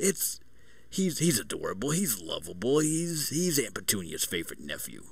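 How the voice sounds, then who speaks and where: A man performs a put-on, gravelly character voice with a Brooklyn accent. Noticeable background noise runs underneath. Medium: game stream. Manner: gruff, jovial.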